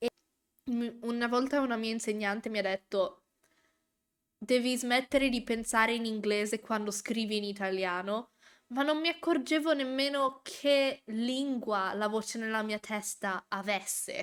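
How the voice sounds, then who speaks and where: A woman speaks with an ordinary speaking voice. Her pitch is fairly high, and her pace is moderate. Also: ordinary pitch variation, very clean recording, silent background. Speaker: vtuber reacting to a show. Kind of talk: casual live reaction chat.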